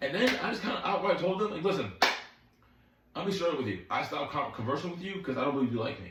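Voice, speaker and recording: A man's high, animated voice with very wide pitch swings, audible room echo and noticeable background noise. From Philadelphia, US Northeast. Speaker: dating commentary vlogger. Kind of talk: casual vlog monologue. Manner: fast; animated, repetitive.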